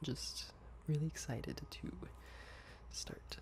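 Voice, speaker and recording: A soft-spoken man whispering, with noticeable background noise. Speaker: ASMR gaming creator. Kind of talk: casual gaming commentary. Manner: soft-spoken, whispered.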